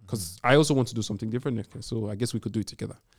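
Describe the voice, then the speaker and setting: A man at medium pitch, dry and close with no echo, on a very clean recording with a silent background. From Nigeria. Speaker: podcast co-host. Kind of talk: casual chat.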